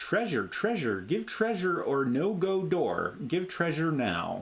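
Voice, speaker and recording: Fairly slow and raspy, a man uses a high-pitched put-on character voice. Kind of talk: broken pidgin speech.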